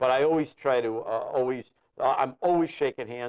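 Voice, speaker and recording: This is a normal speaking voice. It keeps to a moderate pace. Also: man. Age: 60s. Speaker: guitarist. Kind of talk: casual chat. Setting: studio.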